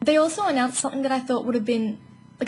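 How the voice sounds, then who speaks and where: Ordinary rise and fall in pitch from a female speaker, noticeable background noise behind her. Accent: Australian. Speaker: gaming YouTuber. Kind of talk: casual video commentary. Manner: fast.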